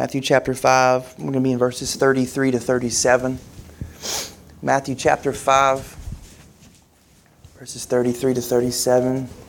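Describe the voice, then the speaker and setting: A man speaks with monotone, flat intonation. His speech has long, frequent pauses. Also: medium pitch for a man, moderate pace. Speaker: pastor. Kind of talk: sermon.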